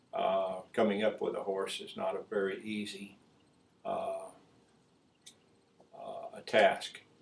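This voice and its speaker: A man at a very slow pace, with long, frequent pauses and big swings in loudness. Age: 70s. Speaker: horse breeder and ranch owner. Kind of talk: interview. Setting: ranch. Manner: halting, many filler words.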